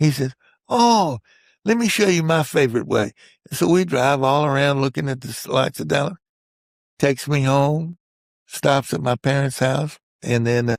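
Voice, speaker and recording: Speaking at a moderate pace with long, frequent pauses, a man with a Texan accent uses a fairly high pitch and lively intonation, the sound dry and close with no echo on a very clean recording with a silent background. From central Texas, Hill Country. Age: 70s. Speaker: war veteran. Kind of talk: interview storytelling. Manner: halting.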